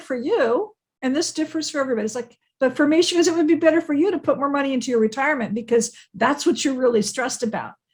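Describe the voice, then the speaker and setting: A woman with an American accent talks at a very fast pace with lively intonation. The recording is very clean, with a silent background. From California. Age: 60s. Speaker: bookkeeper. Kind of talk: podcast interview.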